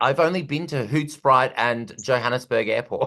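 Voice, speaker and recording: A bright, sharp-toned man with an Australian accent against a quiet background. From Australia, Perth. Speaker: comedian and host. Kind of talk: casual interview chat.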